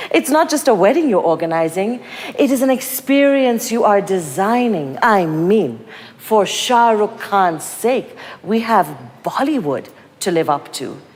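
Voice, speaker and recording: Over noticeable background noise, a woman speaks fairly slowly at medium pitch, with very wide pitch swings. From Kenya. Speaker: writer and performer. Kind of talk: spoken-word performance. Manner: animated.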